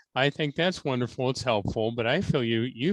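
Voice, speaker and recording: In a normal speaking voice, a man with an American accent talks at a moderate pace and medium pitch with ordinary pitch variation, in a dry, close sound with no echo and a quiet background. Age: 60s. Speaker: spiritual medium. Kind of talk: psychic reading. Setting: video call.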